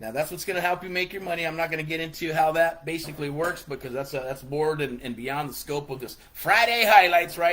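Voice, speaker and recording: Rushing with hardly any pauses at a very fast pace, a man with a fairly high pitch and ordinary pitch variation speaks over noticeable background noise. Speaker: real estate investing coach. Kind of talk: online tutorial. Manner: animated.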